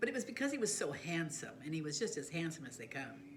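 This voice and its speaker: A woman with an American accent and a fairly low pitch talks at a fairly quick pace, her pitch swinging very widely amid audible room echo. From Southern California. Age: 70s. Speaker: life storyteller. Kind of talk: personal life story monologue. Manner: casual, conversational.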